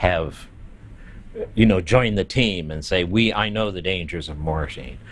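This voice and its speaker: A man with an American accent talks at a moderate pace. His pitch is very deep and low, with ordinary variation. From US, Baltimore. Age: 70s. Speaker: drag performer and long-term HIV survivor. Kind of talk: documentary interview, personal testimony. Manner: halting, many fillers and repetitions.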